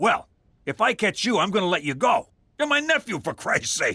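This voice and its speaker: Using a cartoonish character voice, a man speaks high with very wide pitch swings at a moderate pace, the sound dry and close with no echo. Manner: gruff, blunt.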